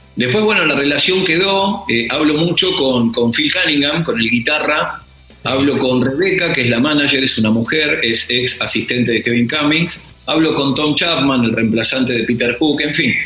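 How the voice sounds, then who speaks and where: Amid noticeable background noise and audible room echo, a man speaks at a moderate pace with a fairly high pitch, ordinary pitch variation and very even loudness. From Argentina, Greater Buenos Aires south (Lomas de Zamora). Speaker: music magazine director and radio host. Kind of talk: casual interview.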